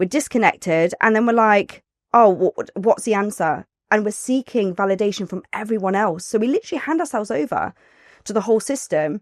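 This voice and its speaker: With an East Midlands accent, a woman talks at a fairly quick pace and fairly high pitch, her tone animated and intonation lively. The recording is very clean, with a silent background and a dry, close sound with no echo. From Nottingham, England. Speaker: birth doula and author. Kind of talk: casual podcast interview.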